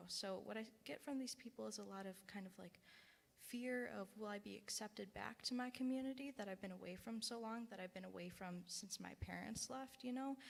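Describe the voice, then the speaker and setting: Somewhat breathy and medium in pitch, a woman talks at a fairly quick pace with ordinary pitch variation. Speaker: congregant. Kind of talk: panel discussion.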